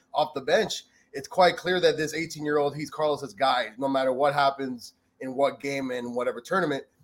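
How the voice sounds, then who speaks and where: A man with an ordinary speaking voice talks at a moderate pace, using ordinary pitch variation. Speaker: guest soccer fan. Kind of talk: casual chat.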